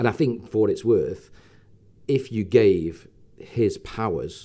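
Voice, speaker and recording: A man with an English accent. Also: very clean recording, silent background. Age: 60s. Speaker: entrepreneur. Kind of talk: interview. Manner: halting.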